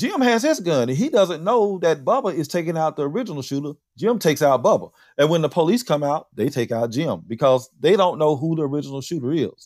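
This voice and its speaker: Fairly quick, lively speech in a Southern US accent on a very clean recording with a silent background. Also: man. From Mississippi, Philadelphia. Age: 50s. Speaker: podcast host. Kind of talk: casual chat.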